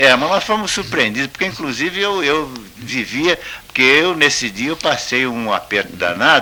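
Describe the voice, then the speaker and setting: Noticeable background noise runs behind a man whose pitch swings very widely. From Campinas, São Paulo, Brazil. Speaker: retired football goalkeeper. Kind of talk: radio interview answer.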